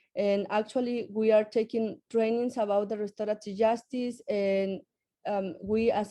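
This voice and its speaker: Against a quiet background, a woman with a Spanish accent speaks at a moderate pace in a medium pitch, her tone dark and mellow and her intonation fairly even. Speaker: parent advocate, program graduate. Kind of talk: pitch presentation. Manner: hesitant, with fillers.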